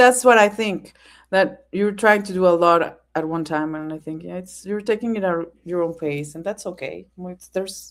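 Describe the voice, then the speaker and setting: At a moderate pace, a woman with a non-native accent speaks at a medium pitch with ordinary pitch variation and big swings in loudness, recorded very cleanly against a silent background. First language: not English. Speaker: fellow content creator guest on live stream. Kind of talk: casual chat.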